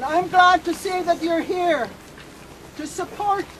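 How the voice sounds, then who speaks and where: A woman speaks at an extremely high pitch. Noticeable background noise runs beneath her. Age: 70s. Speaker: First Nations elder and activist. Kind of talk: protest speech.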